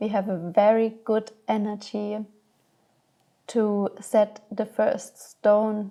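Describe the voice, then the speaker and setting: The speaker has a non-native accent and talks at a very slow pace with monotone, flat intonation. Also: woman. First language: not English. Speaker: astrology guide. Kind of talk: spiritual guidance monologue.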